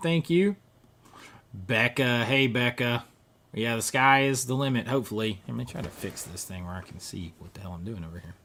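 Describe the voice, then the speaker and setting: A man speaks in a Southern US accent. His pitch swings very widely. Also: big swings in loudness. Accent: Southern US accent, kept. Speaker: YouTuber, film collector. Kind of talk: live stream chat. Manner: casual, chatty.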